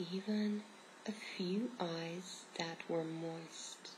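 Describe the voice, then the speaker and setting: A soft-spoken woman with fairly even intonation over noticeable background noise. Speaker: ASMR reader. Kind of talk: soft reading aloud. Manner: soft-spoken, hushed reading voice. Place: home room. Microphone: phone near.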